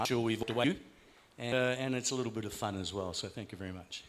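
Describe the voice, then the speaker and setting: A man speaks at a medium pitch. The room has an audible echo. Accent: Australian. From Australia. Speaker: conference speaker. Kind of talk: closing remarks at a conference.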